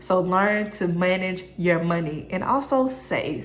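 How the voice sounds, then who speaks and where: A woman's medium-pitched voice with fairly even intonation, in audible room echo. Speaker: self-improvement YouTuber. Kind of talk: motivational vlog tutorial.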